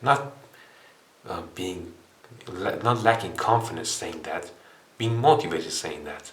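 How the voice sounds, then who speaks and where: A man with a non-native accent speaks at a moderate pace and medium pitch, with ordinary pitch variation. Audible room echo and noticeable background noise surround him. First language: not English. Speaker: self-improvement video creator. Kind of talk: casual monologue. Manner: hesitant, with many fillers.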